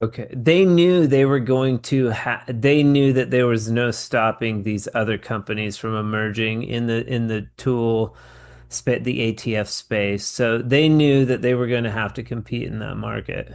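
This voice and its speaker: This is a plain, everyday voice with ordinary pitch variation, a moderate pace and hardly any pauses against a quiet background. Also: man, medium pitch for a man. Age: 40s. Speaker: podcast host. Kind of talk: casual interview.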